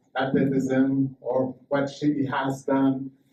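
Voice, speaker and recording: This man has a strong French accent. He speaks at a fairly slow pace. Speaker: boxing promoter. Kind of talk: press conference speech. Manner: halting.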